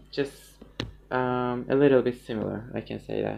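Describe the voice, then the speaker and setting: A man with a non-native accent at medium pitch, monotone and flat in intonation, amid noticeable background noise. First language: not English. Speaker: musician. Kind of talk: casual chat. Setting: livestream. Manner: halting, many fillers.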